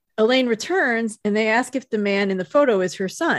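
Against a quiet background, an unremarkable speaking voice moves at a moderate pace with lively intonation. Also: woman. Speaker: podcast host. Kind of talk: casual chat.

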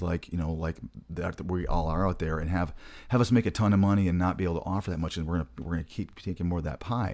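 A man's very deep, low voice with an American accent and ordinary pitch variation, on a very clean recording with a silent background. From US Midwest, Michigan. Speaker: podcast host, travel healthcare staffing recruiter. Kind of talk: casual podcast monologue. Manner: fast talker.

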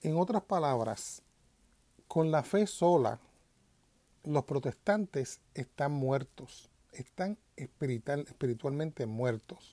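Speaking very slowly with long, frequent pauses, a man with a Puerto Rican accent uses a fairly high pitch, lively intonation and a dark, mellow tone. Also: dry, close sound with no echo, very clean recording, silent background. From Puerto Rico. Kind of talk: religious commentary monologue.

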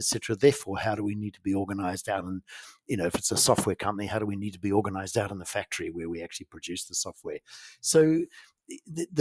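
A fairly low-pitched man in a New Zealand accent, with ordinary pitch variation and a dry, close sound with no echo. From New Zealand, farming community. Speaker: company CEO. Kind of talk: interview. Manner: halting, many fillers.

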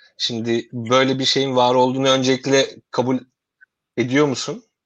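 Here a man speaks at medium pitch and a moderate pace. The background is quiet. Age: 30s. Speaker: podcast host and academic researcher. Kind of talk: interview hosting. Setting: video call from home.

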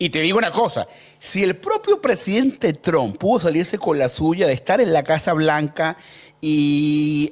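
A man talks in a fairly high pitch at a fairly slow pace. His tone is animated. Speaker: political commentator. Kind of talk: political debate show.

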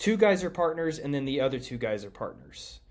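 The speaker has a plain, everyday voice and an American accent, talking at a moderate pace with lively intonation. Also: man. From Kansas, Emporia. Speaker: disc golf course designer and former world champion. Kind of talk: casual interview chat.

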